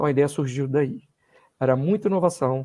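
In a dark, mellow tone, a man speaks at a fairly high pitch with ordinary pitch variation. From Brazil, Belo Horizonte, Minas Gerais (born in Rio de Janeiro, moved at 13). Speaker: university professor and doctoral student. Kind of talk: podcast interview.

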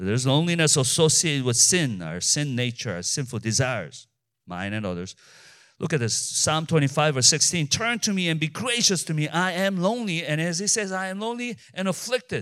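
On a very clean recording with a silent background, a man speaks at a fairly quick pace, his fairly high voice making very wide pitch swings. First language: not English. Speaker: pastor. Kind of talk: sermon. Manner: halting.

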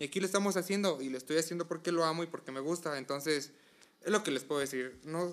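A man with a Mexican accent. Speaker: podcast co-host. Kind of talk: casual chat.

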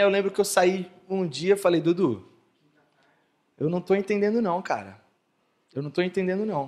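Here is a man with a high-pitched voice. His pace is moderate. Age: 20s. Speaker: entrepreneur. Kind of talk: interview on stage at live event. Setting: stage with audience.

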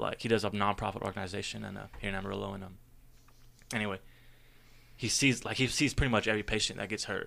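Speaking very fast with vocal fry, a man uses a fairly low pitch on a very clean recording with a silent background. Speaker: brewery social media manager. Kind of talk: casual chat.

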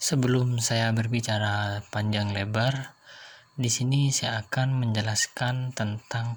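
Somewhat breathy and fairly slow, a man speaks at a medium pitch in a monotone, flat delivery. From Indonesia, Jember (East Java). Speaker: podcaster. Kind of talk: solo monologue reading definitions. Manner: formal.

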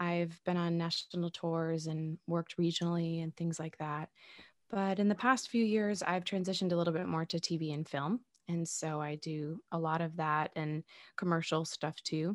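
A woman with a New York accent talks at a moderate pace and fairly low pitch with fairly even intonation. The recording is very clean and dry, close with no echo and a silent background. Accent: New York American English. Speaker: actor and podcast host. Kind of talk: casual interview.

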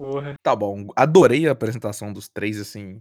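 This man has an unremarkable speaking voice, medium in pitch and delivered at a moderate pace. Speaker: guest podcast host. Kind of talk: casual interview.

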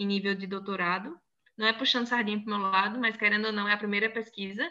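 A woman talks with a fairly high pitch. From Northeast Brazil, Crato in inland Ceará (born in Salvador, Bahia). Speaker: university professor and sign language interpreter. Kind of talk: casual interview chat.

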